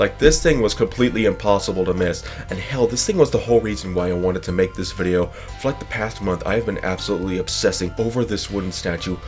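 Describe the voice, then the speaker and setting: A man talks at a very fast pace. Music sounds behind him. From Nevada, Las Vegas. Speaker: history video creator. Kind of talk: scripted narration.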